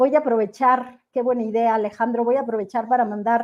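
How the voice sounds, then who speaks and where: A woman's unremarkable speaking voice, an unremarkable speaking voice with a fairly high pitch and fairly even intonation. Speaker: economics show host. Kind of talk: live interview.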